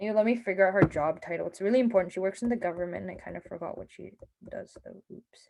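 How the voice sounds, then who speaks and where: Speaking at a very fast pace, a woman has a dark, mellow tone at medium pitch, with ordinary pitch variation, vocal fry, and big swings in loudness. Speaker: hackathon workshop presenter. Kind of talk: online workshop lecture.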